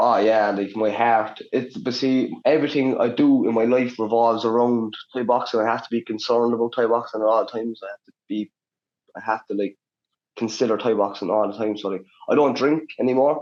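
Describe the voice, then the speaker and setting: Moving at a fairly quick pace, a man speaks in a medium pitch with fairly even intonation. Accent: Cork. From Ireland, Cork City. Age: 20s. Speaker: Muay Thai fighter. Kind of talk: casual chat.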